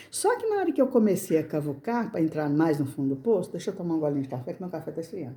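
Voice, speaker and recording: Against noticeable background noise, a woman with a fairly low pitch talks at a very fast pace with lively intonation and hardly any pauses. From Brazil, rural countryside. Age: 60s. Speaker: crafts channel owner. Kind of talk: casual personal talk to camera. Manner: halting, repetitive.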